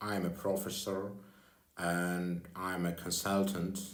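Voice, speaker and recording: A man with a non-native accent speaks in a very deep, low voice, with audible room echo around him. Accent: non-native English speaker. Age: 40s. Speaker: security consultant and former deputy minister. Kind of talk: personal video address. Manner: halting.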